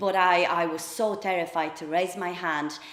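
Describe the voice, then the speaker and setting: A woman's fairly low voice with a Polish accent, moderate in pace and monotone, flat in intonation, amid audible room echo and noticeable background noise. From Poland. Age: 30s. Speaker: public speaker. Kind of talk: personal talk. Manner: hesitant fillers.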